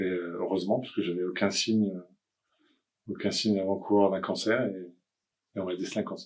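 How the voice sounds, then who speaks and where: Speaking at a fairly quick pace with long, frequent pauses, a man keeps fairly even intonation at a fairly low pitch. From France, Nantes. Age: 60s. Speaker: cancer patient. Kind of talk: testimony. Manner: halting.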